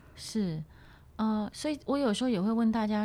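A woman's dark, mellow tone is captured in a very clean recording against a silent background. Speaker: voice coach. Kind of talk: interview conversation.

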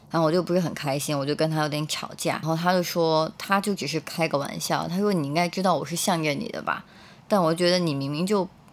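A woman talks at a very fast pace. Her voice is fairly low and her intonation fairly even. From Beijing, China. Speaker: graduate student. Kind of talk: first-person storytelling.

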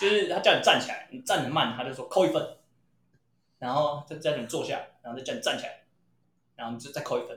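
Here a man talks at a very fast pace with big swings in loudness. He takes long, frequent pauses. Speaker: podcast co-host. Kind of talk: casual chat.

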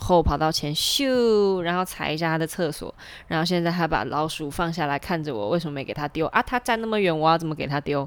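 A woman with a fairly low pitch talks at a fairly quick pace with ordinary pitch variation. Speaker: podcast host and ballet dancer. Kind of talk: casual monologue.

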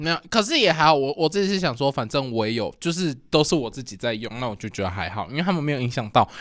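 A man races along at a very fast pace with hardly any pauses. His pitch swings very widely. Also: fairly high pitch for a man, very clean recording, silent background. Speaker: podcast co-host. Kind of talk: casual chat. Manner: loud.

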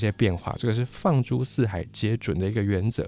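At a fairly quick pace, a man with a medium pitch speaks in an unremarkable speaking voice. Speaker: history and language YouTuber. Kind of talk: educational monologue.

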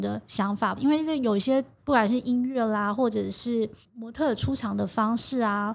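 A woman's fairly high voice with fairly even intonation in a very clean recording with a silent background. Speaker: fashion designer. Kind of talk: interview. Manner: gentle but assured; slow.

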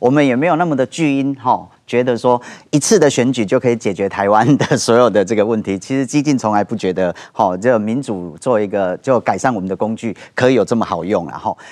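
An unremarkable speaking voice, a man's at medium pitch with ordinary pitch variation. He talks at a fairly quick pace with hardly any pauses. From Taiwan, Kaohsiung. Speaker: political party founder and author. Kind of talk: TV political talk show discussion.

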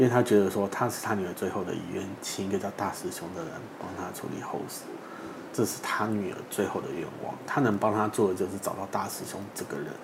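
A man's fairly low voice at a fairly quick pace, ordinary pitch variation, audible room echo and noticeable background noise. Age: 30s. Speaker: funeral body collector and author. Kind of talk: interview chat.

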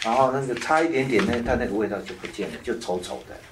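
Someone talks at a very fast pace with ordinary pitch variation. Noticeable background noise runs underneath. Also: man. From Taiwan. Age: 50s. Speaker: author and lecturer. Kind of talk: talk to an audience.

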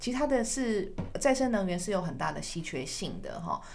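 A woman talks at a fairly quick pace with lively intonation. Audible room echo surrounds her voice. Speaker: podcast host. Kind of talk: interview.

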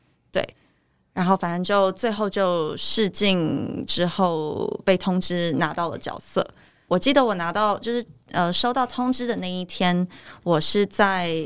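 Speaking at a very slow pace, a woman shows ordinary pitch variation and big swings in loudness. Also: medium pitch for a woman. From Taiwan. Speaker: actress. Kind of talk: interview. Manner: halting.

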